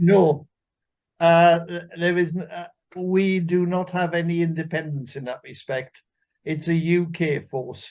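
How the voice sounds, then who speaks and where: A man speaks with a Welsh accent. His pitch is high and his pace fairly slow. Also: fairly even intonation. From Wales. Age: 80s+. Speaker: military veteran, interview guest. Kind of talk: interview conversation.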